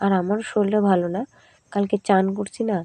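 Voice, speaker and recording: Against a quiet background, a woman speaks in a flat monotone at a medium pitch, the sound dry and close with no echo. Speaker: vlogger. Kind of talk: casual vlog narration. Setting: at home, kitchen.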